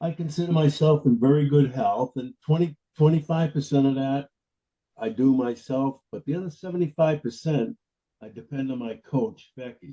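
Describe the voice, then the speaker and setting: A man talks at a moderate pace in a fairly high pitch, with a dark, mellow tone, a somewhat breathy quality and ordinary pitch variation. His loudness swings widely, and the sound is dry and close with no echo. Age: 80s+. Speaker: webinar participant. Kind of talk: casual chat. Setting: video call.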